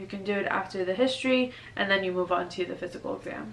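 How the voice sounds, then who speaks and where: A woman's fairly quick, lively-intoned voice against noticeable background noise. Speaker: newly graduated doctor, medical video creator. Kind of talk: casual advice vlog. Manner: fast; casual, animated.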